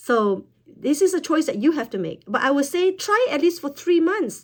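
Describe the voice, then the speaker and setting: A woman speaks at a moderate pace with very wide pitch swings. The recording is very clean, with a silent background. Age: 50s. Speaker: wellness product promoter. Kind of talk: product talk to camera.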